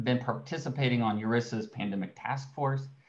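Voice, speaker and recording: At a moderate pace and medium pitch, a man speaks in an unremarkable speaking voice with ordinary pitch variation. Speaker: research scientist. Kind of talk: webinar presentation. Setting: video call.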